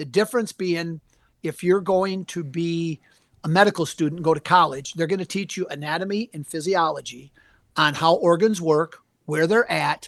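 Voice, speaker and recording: A man with a Wisconsin accent talks at a moderate pace in a high voice with ordinary pitch variation, and the sound is dry and close with no echo. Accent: Upper Midwest (Wisconsin) American. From US Upper Midwest, southern Wisconsin. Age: 60s. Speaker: taxidermist and hunting anatomy teacher. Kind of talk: podcast interview.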